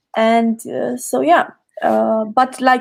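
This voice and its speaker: A woman with a Romanian accent speaks at a fairly high pitch. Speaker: creativity coach. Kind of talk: podcast interview. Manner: halting.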